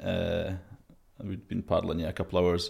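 With a Scottish accent, a man speaks at a fairly slow pace in a very deep, low pitch and monotone, flat intonation, on a very clean recording with a silent background. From Scotland. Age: 30s. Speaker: former Royal Marine, expedition adventurer. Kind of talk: casual interview, storytelling. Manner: halting, many fillers.

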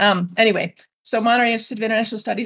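Vocal fry marks this voice with an American accent. The sound is dry and close with no echo, on a very clean recording with a silent background. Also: woman. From Illinois, US (northwest Chicago suburbs). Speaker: French teacher and author. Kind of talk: interview.

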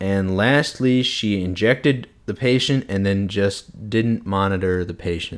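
With an American accent and a normal speaking voice, a man talks at a fairly slow pace and fairly low pitch, with ordinary pitch variation and hardly any pauses, on a very clean recording with a silent background. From US Midwest, St. Louis, Missouri. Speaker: medical student podcaster. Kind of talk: solo podcast monologue. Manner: casual, with frequent fillers.

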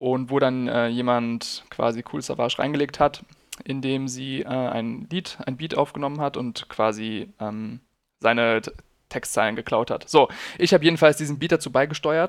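This is a normal speaking voice from a man with a medium pitch. He keeps a moderate pace and ordinary pitch variation. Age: 20s. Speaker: podcast co-host. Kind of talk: casual chat.

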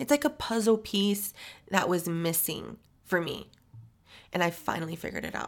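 An unremarkable speaking voice from a woman of medium pitch, American accent, moderate pace, ordinary pitch variation, on a very clean recording with a silent background. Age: 30s. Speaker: podcast host. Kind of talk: casual monologue.

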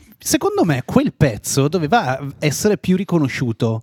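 A man with very wide pitch swings, in a dry, close sound with no echo. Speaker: podcast host. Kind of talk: casual interview chat. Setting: studio.

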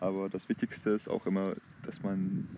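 Noticeable background noise sits behind a man who keeps to a moderate pace. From Germany, Heinsberg district (North Rhine-Westphalia). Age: 20s. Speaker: language-learning podcaster. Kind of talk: casual monologue. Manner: halting, self-correcting.

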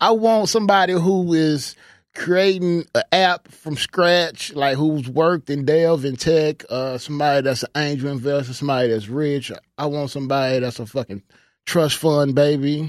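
A man with a fairly high voice speaks at a moderate pace. His pitch varies in the ordinary way, and the sound is dry and close with no echo. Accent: Texan. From Houston, Texas. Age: 30s. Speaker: podcast co-host. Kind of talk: casual chat. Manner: animated.

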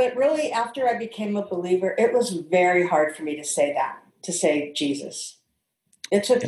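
In a plain, everyday voice, a woman with an American accent speaks at a moderate pace with lively intonation. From St. Louis, Missouri, US Midwest. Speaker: interview guest. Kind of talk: casual interview.

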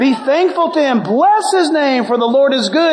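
A man's extremely high voice with very wide pitch swings and an American accent, amid noticeable background noise. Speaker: pastor. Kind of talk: sermon. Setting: church. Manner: animated.

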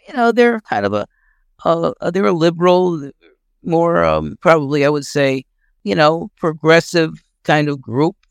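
On a very clean recording with a silent background and a dry, close sound with no echo, a man with an unremarkable speaking voice talks at a fairly slow pace. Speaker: discussion participant, communist activist. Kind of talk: political discussion. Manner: casual, conversational.

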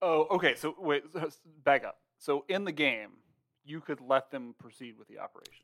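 The sound is dry and close with no echo as a man speaks in a normal speaking voice at a moderate pace, fairly high in pitch, with ordinary pitch variation and big swings in loudness. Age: 30s. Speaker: podcast co-host, former IT worker turned writer. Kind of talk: casual chat.

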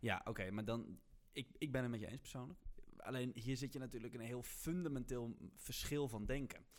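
A man speaks fairly quickly in a normal speaking voice. His pitch is medium, with ordinary variation. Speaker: student podcast host. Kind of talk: casual chat.

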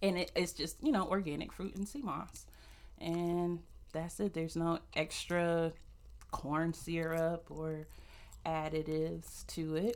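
A woman talks with a fairly low pitch and fairly even intonation. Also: fairly slow pace. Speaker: podcaster, merch business owner. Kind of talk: casual interview.

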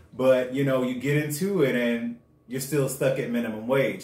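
Someone with an American accent speaks fairly slowly over noticeable background noise. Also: man. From US South, West Palm Beach, Florida. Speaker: podcast co-host. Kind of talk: casual chat.

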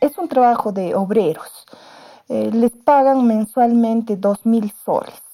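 Speaking at a very slow pace, a woman uses a fairly high pitch, ordinary pitch variation and a dark, mellow tone. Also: dry, close sound with no echo. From Peru, Cerro de Pasco. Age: 50s. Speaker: secondary school teacher. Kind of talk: interview.

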